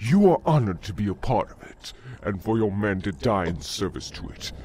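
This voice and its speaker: A put-on character voice speaks at a moderate pace over clear background noise. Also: man. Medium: audio drama. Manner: fuming, commanding.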